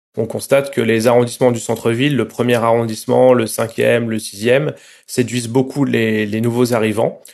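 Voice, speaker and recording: A man's medium-pitched voice keeps monotone, flat intonation at a moderate pace. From Marseille, southern France. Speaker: journalist. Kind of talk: interview.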